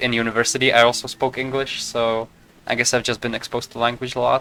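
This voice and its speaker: Speaking at a fairly quick pace, a man with a slight Czech accent uses a medium pitch and monotone, flat intonation against noticeable background noise. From Czech Republic. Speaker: video game streamer. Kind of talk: casual gameplay commentary. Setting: live stream at home. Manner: fast.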